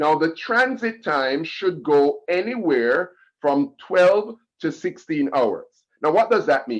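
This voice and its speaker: Very wide pitch swings at a very slow pace. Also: man, fairly high pitch for a man. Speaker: health educator. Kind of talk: health lecture.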